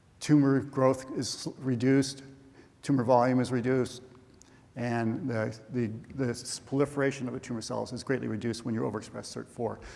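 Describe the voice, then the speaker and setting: A man talks in a flat monotone with audible room echo. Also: medium pitch for a man. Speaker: professor, cancer researcher. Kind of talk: scientific conference talk. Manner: fast; halting, many fillers and restarts.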